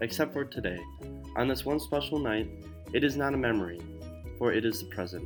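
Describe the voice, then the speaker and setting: A soft-spoken man at a fairly quick pace, lively in intonation, with music in the background. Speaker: student. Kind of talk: narrated personal essay. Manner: mysterious tone.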